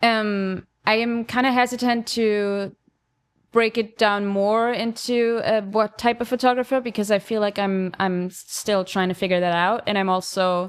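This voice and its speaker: A woman with an Austrian accent speaks at a moderate pace in a fairly high pitch. Her intonation is fairly even, and the recording is very clean with a silent background. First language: German. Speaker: podcast co-host, film photographer. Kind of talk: casual chat. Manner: hesitant, many fillers.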